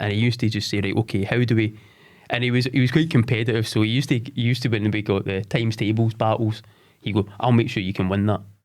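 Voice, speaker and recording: In a Scottish accent, the speaker goes at a very fast pace on a very clean recording with a silent background. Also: man. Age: 40s. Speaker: sports development head. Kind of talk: interview. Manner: halting.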